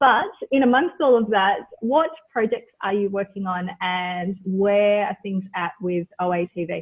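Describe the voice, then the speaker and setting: The speaker has an Australian accent and talks at a very slow pace. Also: woman, medium pitch for a woman, ordinary pitch variation. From Australia (born Mauritius, moved at four). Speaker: podcast host. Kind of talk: interview.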